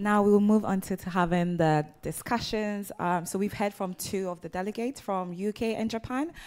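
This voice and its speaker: A woman speaks at a moderate pace with hardly any pauses. Her pitch varies in an ordinary way. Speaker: event moderator. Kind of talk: moderated panel discussion. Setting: live event in London. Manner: warm and enthusiastic. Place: hall.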